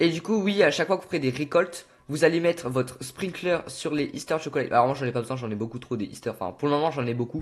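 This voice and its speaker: A man with an animated tone and lively intonation at a very fast pace, with hardly any pauses. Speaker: gaming youtuber. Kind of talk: tutorial. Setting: on camera with game footage.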